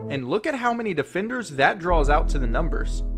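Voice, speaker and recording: A man talking at a moderate pace over music in the background. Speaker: sports anchor and reporter. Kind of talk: TV sports reporter package narration.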